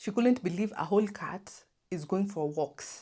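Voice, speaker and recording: Fairly slow and somewhat breathy, a woman speaks in a dark, mellow tone with ordinary pitch variation. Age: 20s. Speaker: lifestyle vlogger. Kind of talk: casual Q&A chat. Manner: animated.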